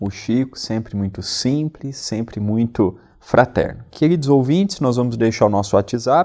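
A man with a dark, mellow tone speaks at a medium pitch with lively intonation. He goes at a fairly slow pace with hardly any pauses. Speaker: radio co-host. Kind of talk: religious radio talk.

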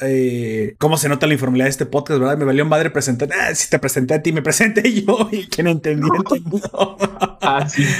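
In a Mexican accent, a man speaks at a fairly quick pace and fairly high pitch, with an animated tone and lively intonation. Noticeable background noise is present. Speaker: podcast host. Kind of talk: casual chat; announcement.

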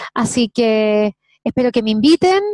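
A woman with a Chilean accent speaks at a fairly slow pace and a high pitch. The sound is dry and close, with no echo. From Chile, Santiago. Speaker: singer and actress. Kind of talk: interview.

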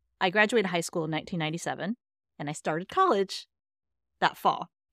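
The recording is very clean, with a silent background and a dry, close sound with no echo. The pitch varies in an ordinary way. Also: woman. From Texas. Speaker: painter. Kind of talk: casual chat. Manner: animated.

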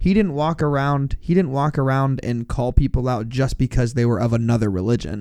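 Here a man of medium pitch has a plain, everyday voice, speaking at a moderate pace with ordinary pitch variation. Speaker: returning co-host. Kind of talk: casual banter podcast chat. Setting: studio.

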